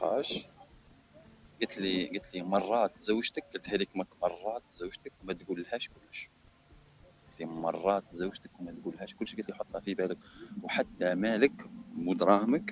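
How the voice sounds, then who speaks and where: The sound is dry and close, with no echo, as a man speaks at a moderate pace. His loudness swings widely, and he pauses long and often. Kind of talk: casual chat.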